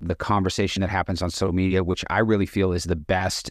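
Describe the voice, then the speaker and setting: An American accent marks this man's very deep, low voice. The sound is dry and close, with no echo. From Boston, Massachusetts. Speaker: recovery coach and real estate agent. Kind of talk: casual chat.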